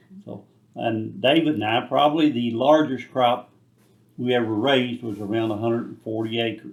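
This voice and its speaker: A man talks in a rural Kentucky accent with ordinary pitch variation. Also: medium pitch for a man, moderate pace. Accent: Kentucky rural Southern. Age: 70s. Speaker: retired tobacco farmer. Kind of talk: interview.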